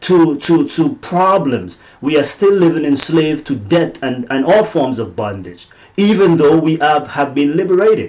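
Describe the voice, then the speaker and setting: A non-native accent at a fairly slow pace, with lively intonation. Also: man. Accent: noticeable foreign. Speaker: motivational teacher and author. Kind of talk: faith-based teaching webinar. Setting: webinar.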